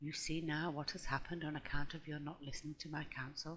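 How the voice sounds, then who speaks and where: A soft-spoken voice moves at a fairly quick pace. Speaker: audiobook reader. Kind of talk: ASMR audiobook reading.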